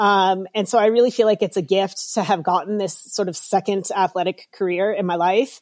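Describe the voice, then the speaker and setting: A woman speaks at a medium pitch and a moderate pace, with fairly even intonation and hardly any pauses, in an unremarkable speaking voice. The sound is dry and close, with no echo. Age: 50s. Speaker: professional triathlete and race announcer. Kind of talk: interview. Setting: video call.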